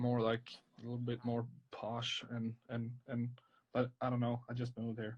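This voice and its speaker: A man with a strong Swedish accent speaks at medium pitch and a moderate pace in monotone, flat intonation. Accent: thick Swedish. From northern Sweden. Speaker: tattoo artist. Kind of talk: live-stream drawing chat. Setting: live video stream.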